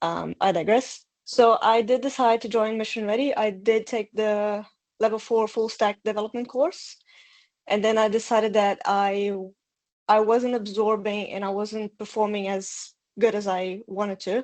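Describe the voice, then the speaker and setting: With a Portuguese accent, a woman talks at a moderate pace in a fairly high voice with monotone, flat intonation. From Brazil. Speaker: bootcamp graduate. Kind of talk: testimony. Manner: hesitant, many fillers.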